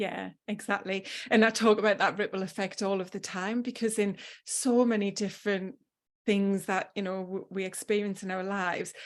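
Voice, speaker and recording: With a northeast English accent, a woman speaks at a medium pitch and a moderate pace. Her intonation is monotone and flat against a quiet background. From northeast England. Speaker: health habits coach. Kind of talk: podcast interview.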